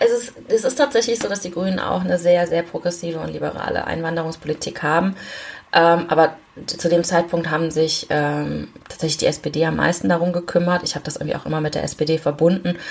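Fairly quick speech with noticeable background noise underneath. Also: woman, fairly low pitch for a woman, ordinary pitch variation. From Germany, Aachen. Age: 30s. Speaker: member of parliament. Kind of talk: interview. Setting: video call. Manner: hesitant fillers.

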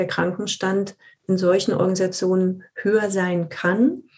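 This woman has a medium-pitched voice with a dark, mellow tone and a somewhat breathy quality. Her intonation stays fairly even at a moderate pace. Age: 50s. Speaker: leadership consultant, former HR manager. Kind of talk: interview.

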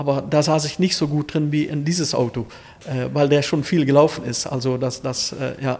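At a moderate pace, a man speaks in a fairly high pitch with fairly even intonation. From Netherlands, Limburg border region. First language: Dutch (speaking German). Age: 50s. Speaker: classic car dealer. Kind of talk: casual interview.

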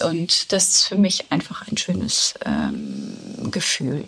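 A woman speaks very slowly against noticeable background noise. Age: 60s. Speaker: yoga teacher. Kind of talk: interview. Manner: hesitant with many fillers.

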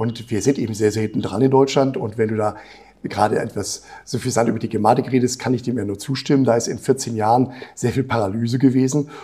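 Very fast and somewhat breathy, a man speaks at a medium pitch in a dark, mellow tone with fairly even intonation. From Brazil (Rio de Janeiro). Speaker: health agency executive, physician. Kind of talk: interview conversation.

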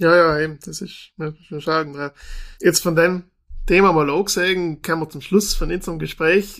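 In a very clean recording with a silent background, a man speaks at a high pitch in a monotone, flat intonation, his loudness swinging widely. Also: moderate pace. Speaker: podcast host, magazine editor-in-chief. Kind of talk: interview.

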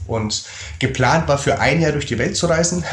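A man talks with lively intonation. Audible room echo and noticeable background noise can be heard. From Germany, Würzburg (Lower Franconia). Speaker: travel author and speaker. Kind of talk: casual interview.

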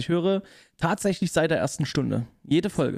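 A man speaks at a moderate pace with a high-pitched voice. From Saxony, Leipzig. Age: 30s. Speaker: gaming YouTuber and office worker. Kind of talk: casual chat.

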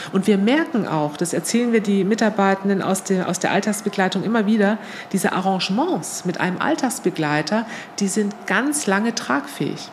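Over noticeable background noise, a woman talks at a moderate pace with lively intonation and very even loudness. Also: medium pitch for a woman. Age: 50s. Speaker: nonprofit managing director. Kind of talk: interview. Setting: in person at her workplace.

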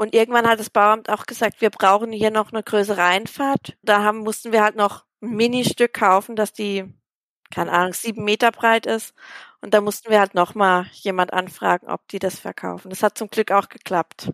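On a very clean recording with a silent background, a woman speaks at fairly high pitch and a moderate pace. Her intonation is monotone and flat, in a dry, close sound with no echo. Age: 30s. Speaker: primary school teacher. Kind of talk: interview.

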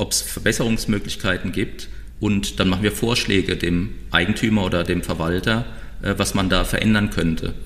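A man's fairly even delivery carries through audible room echo and noticeable background noise. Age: 50s. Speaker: recycling company founder. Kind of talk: podcast interview.

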